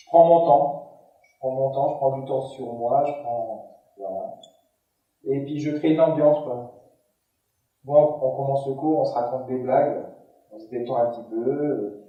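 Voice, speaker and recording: With audible room echo, a man at a fairly high pitch speaks with fairly even intonation, big swings in loudness and long, frequent pauses. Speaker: gym instructor for seniors. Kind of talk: conference talk. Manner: halting, with many repetitions and fillers.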